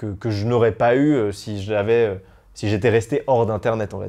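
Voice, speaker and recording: Dark and mellow in tone, a man talks at medium pitch and a fairly slow pace with ordinary pitch variation. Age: 20s. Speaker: YouTuber. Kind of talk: interview testimony. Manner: hesitant, many fillers.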